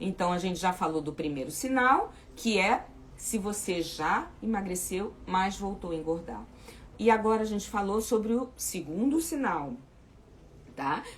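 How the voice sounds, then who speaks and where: At a fairly slow pace, a woman with an unremarkable speaking voice talks with lively intonation. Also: medium pitch for a woman. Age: 60s. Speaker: weight loss coach. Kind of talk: live chat with viewers. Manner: informal, repetitive fillers.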